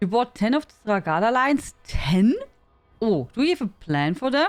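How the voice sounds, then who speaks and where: With music in the background, a woman in a German accent speaks at a fairly slow pace and a fairly high pitch, her voice making very wide pitch swings. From Germany. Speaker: game streamer. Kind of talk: casual live-stream chat. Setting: live stream.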